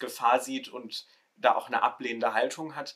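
A man is speaking. His pace is moderate. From Ruhr area, Germany. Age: 20s. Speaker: theology student, social media creator. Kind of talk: casual discussion podcast.

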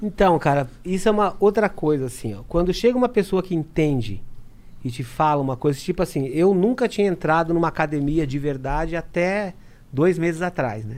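A man's high-pitched voice moves at a moderate pace with lively intonation. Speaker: drummer. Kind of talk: casual chat.

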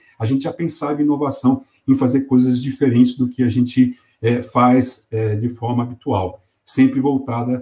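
A man's dark, mellow, somewhat breathy voice at a moderate pace. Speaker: company executive. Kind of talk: interview.

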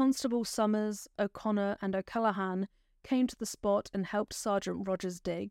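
In a very clean recording with a silent background and a dry, close sound with no echo, a woman with a normal speaking voice and a medium pitch speaks at a moderate pace. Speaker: true crime podcaster. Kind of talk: true-crime narration, scripted storytelling of a historical murder case. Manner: measured, solemn, sombre storyteller pace, clear and factual; gentle and caring in direct address to listeners.

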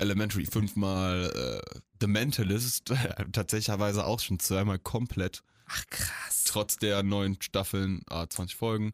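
In dry, close sound with no echo, a man with a fairly low pitch and ordinary pitch variation speaks at a very slow pace with hardly any pauses. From Eifel, western Germany. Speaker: podcast co-host. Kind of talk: casual chat. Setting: studio.

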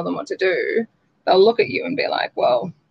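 In an Australian accent, a woman speaks at a very fast pace. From rural New South Wales, Australia. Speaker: public health and nursing graduate working in healthcare management. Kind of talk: interview.

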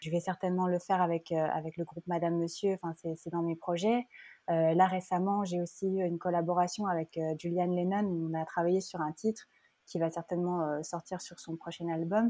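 In a very clean recording with a silent background and a dry, close sound with no echo, a woman speaks at a moderate pace in a fairly low, monotone voice with a dark, mellow tone. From Geneva, Switzerland. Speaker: singer-songwriter. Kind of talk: interview. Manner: halting, many hesitations.

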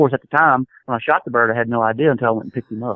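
Fairly even intonation with a Southern US accent. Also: man. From US South, Mississippi Gulf Coast. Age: 50s. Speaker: hunting guide and outdoorsman. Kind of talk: casual interview, storytelling.

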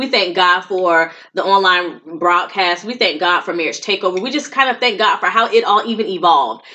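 This woman talks at a fairly quick pace with hardly any pauses. She has an ordinary speaking voice, medium pitch and lively intonation. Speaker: podcast co-host, marriage coach. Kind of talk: live event recap, casual chat.

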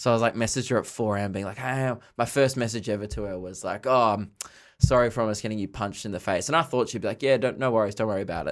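A man of medium pitch talks at a very fast pace. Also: ordinary pitch variation. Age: 20s. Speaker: comedian. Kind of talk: casual chat.

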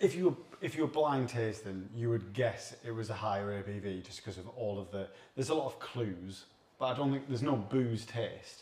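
Somewhat breathy, a man talks at a moderate pace and medium pitch with ordinary pitch variation. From Sunderland, northeast England. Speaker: beer reviewer. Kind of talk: casual chat.

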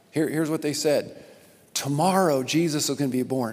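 In an ordinary speaking voice, a man talks at a fairly quick pace and fairly high pitch with fairly even intonation. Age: 50s. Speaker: pastor. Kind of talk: sermon.

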